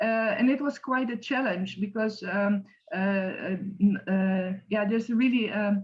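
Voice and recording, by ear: Her pace fairly slow, a woman lets her pitch move up and down the usual amount. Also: medium pitch for a woman.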